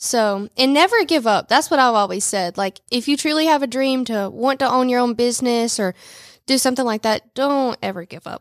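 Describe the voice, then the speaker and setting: In a dry, close sound with no echo, a woman speaks at a high pitch and a fairly quick pace with ordinary pitch variation. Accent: Southern US. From US South, Rome, Georgia. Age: 20s. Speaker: boutique owner. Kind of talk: radio interview. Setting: studio.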